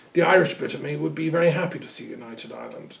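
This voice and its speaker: With an English accent, a man talks at a fairly quick pace against noticeable background noise. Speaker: lecturer on culture and metaphysics. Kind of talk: recorded talk. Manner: conversational with hesitations.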